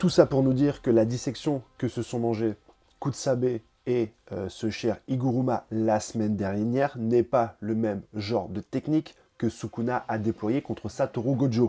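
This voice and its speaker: Here a man talks at a fairly slow pace in a dark, mellow tone, his medium pitch held to fairly even intonation. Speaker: manga commentator YouTuber. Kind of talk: video commentary. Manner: hesitant with many fillers.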